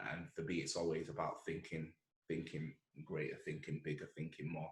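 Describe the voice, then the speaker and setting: A man with a Mancunian accent has a very deep, low voice that sounds somewhat breathy. He speaks at a moderate pace with fairly even intonation. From Manchester, northern England. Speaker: entrepreneur. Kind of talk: casual chat.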